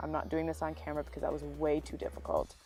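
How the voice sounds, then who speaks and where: A woman's voice with music in the background. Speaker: beauty YouTuber. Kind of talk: makeup tutorial voiceover.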